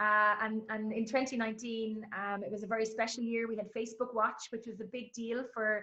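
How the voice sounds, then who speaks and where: A woman with an Irish accent talks at a very fast pace in a fairly high, monotone, flat voice. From Ireland. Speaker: sports announcer. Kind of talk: interview answer.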